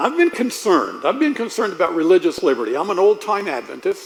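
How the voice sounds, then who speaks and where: A man's voice amid noticeable background noise. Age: 70s. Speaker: preacher. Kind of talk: sermon. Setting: church.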